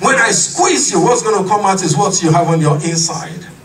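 Shouting at a moderate pace, a man uses a high pitch and lively intonation. Light background noise can be heard. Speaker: pastor. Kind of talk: sermon. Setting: church. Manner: impassioned, rhythmic repetition of refrains building to exclamations; call-and-response, urging congregation to shout amen. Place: church.

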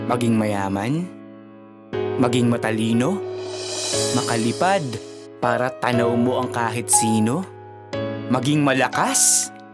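Loud background noise surrounds a man who talks fairly slowly, leaving long, frequent pauses. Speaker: spoken word poet. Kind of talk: spoken word poetry performance. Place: studio.

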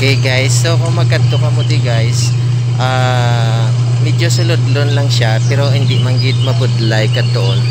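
Loud background noise surrounds a man speaking fairly slowly, the sound itself dry with no echo. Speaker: travel vlogger. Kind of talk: casual vlog chat. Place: waterside. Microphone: phone near.

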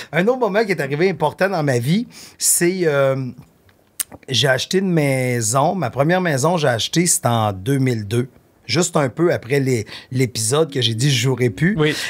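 At a moderate pace and a fairly high pitch, a man speaks with lively intonation, very even loudness and long, frequent pauses. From Quebec. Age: 50s. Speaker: artist manager and podcaster; podcast guest. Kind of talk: casual chat. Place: studio. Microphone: studio mic.

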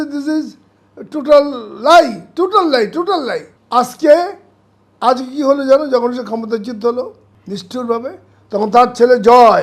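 The man's pitch is extremely high, with ordinary variation. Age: 70s. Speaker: war veteran and former civil servant. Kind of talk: political commentary interview. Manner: animated; halting.

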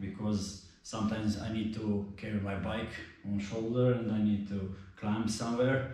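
A man with a Croatian accent speaks fairly slowly in a fairly low, monotone, flat voice, with strong room echo around him. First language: not English. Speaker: mountain biker. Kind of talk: casual product review to camera. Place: garage.

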